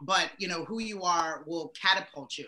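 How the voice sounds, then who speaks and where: Her tone is bright, sharp and animated. The woman's pitch is fairly low, with ordinary variation. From born in Sierra Leone, grew up in the US. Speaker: professor and marketing guest. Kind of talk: casual interview chat. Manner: loud.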